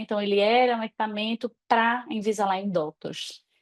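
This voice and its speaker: This woman's voice sits fairly high in pitch, and she talks at a moderate pace. The sound is dry and close, with no echo. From Natal, northeastern Brazil. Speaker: dentist. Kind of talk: online talk presentation.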